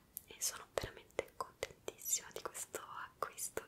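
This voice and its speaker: A woman is whispering. She is soft-spoken and goes at a fairly slow pace. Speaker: ASMR creator. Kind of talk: soft-spoken ASMR chat. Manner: soft close-mic whisper. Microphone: handheld.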